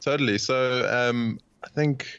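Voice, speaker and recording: A man with a South African accent speaks with fairly even intonation. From South Africa, Cape Town. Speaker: podcast host, interviewed as guest. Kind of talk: interview. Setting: remote call.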